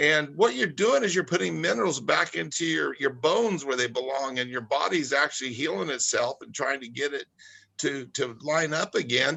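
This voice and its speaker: A man with a fairly high pitch talks with vocal fry. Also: lively intonation, moderate pace. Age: 60s. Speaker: product spokesperson. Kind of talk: casual chat. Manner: halting.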